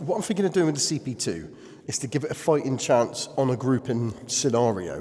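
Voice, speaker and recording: Over noticeable background noise, a man with a British accent speaks at a fairly quick pace and medium pitch, making very wide pitch swings. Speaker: airgun YouTuber. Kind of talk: casual vlog narration. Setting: underground bunker, reverberant. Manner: quiet, trying to limit reverb.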